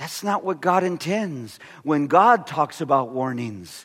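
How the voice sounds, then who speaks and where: A man with an American accent speaks at a fairly high pitch in an animated tone, with very wide pitch swings. The recording is very clean, with a silent background. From California. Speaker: pastor. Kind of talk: sermon.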